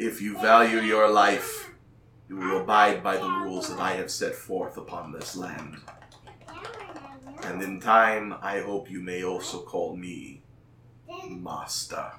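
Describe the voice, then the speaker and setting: Booming, low-pitched put-on character voice, fairly slow with long, frequent pauses and audible echo. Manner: booming, commanding.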